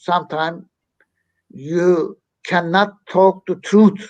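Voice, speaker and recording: A man with a Turkish accent. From Turkey. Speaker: activist. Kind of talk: interview.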